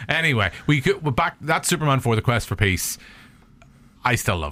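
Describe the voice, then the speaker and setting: A bright, sharp voice in a Northern Irish accent, with very wide pitch swings, vocal fry and a fairly quick pace. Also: man, medium pitch for a man. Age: 40s. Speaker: podcast host. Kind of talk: casual chat. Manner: animated.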